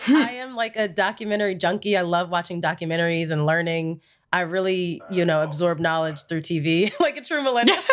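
A woman's fairly low voice with lively intonation, fairly quick and with hardly any pauses, over noticeable background noise. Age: 20s. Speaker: social media producer. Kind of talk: casual chat.

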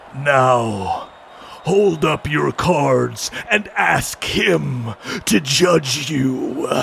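A man uses a put-on character voice in a solemn tone at medium pitch. He speaks at a very slow pace over clear background noise. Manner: solemn, commanding.

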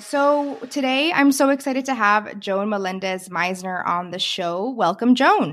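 Using a normal speaking voice, a woman with a fairly high pitch speaks at a fairly slow pace with lively intonation and hardly any pauses. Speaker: podcast host and career coach. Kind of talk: podcast interview.

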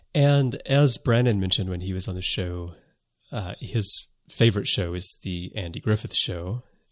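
On a very clean recording with a silent background, a man with an American accent talks in a fairly low, somewhat breathy voice. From US South. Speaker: podcast host. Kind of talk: casual chat.

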